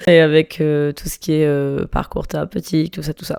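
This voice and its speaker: Noticeable background noise under a female speaker's fairly low pitch. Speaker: podcaster. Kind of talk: personal monologue podcast. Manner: casual, hesitant with many fillers.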